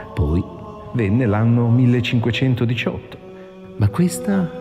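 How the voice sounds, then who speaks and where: With music in the background, a man talks at a fairly slow pace and a medium pitch. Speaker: narrator. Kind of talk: movie trailer narration.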